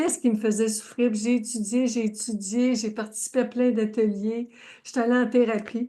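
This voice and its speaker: In a quiet setting, a woman with a fairly high voice speaks in a flat monotone. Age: 70s. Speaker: life coach. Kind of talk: live stream chat. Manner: warm, effusive.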